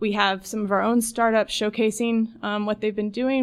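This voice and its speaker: Against a quiet background, a woman speaks at a medium pitch and a fairly quick pace. Her intonation is monotone and flat. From Chattanooga, Tennessee. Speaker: event project manager. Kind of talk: radio interview. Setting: radio studio.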